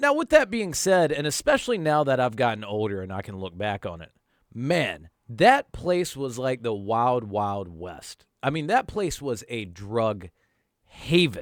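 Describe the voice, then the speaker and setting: With a slight Southern US accent, a man speaks at a fairly slow pace with very wide pitch swings and big swings in loudness, on a very clean recording with a silent background. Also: medium pitch for a man. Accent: slight Southern country. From North Carolina, US. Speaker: YouTuber storyteller. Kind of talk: storytelling monologue. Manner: casual, conversational.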